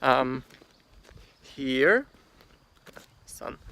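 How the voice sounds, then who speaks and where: A man is speaking. He has a non-native accent. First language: German. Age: 30s. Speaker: gardener. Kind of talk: guided tour vlog. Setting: outdoors in garden. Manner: halting, many fillers.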